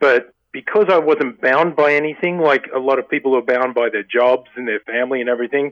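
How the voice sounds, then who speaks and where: A man with an Australian accent speaks at a fairly quick pace in a medium pitch with fairly even intonation. The sound is dry and close, with no echo. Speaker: painter. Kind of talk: interview.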